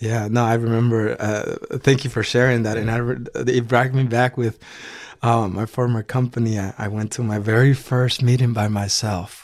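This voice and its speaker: With a Spanish accent, a man talks at a moderate pace. His medium-pitched voice has monotone, flat intonation. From El Salvador. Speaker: business executive. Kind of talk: interview.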